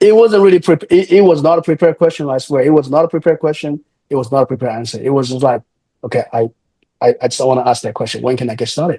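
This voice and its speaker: A man with a Chinese accent talks at a very fast pace. His fairly high voice has a dark, mellow tone and sounds dry and close with no echo. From China. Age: 30s. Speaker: real estate developer. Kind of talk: interview. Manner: halting, many repetitions and fillers.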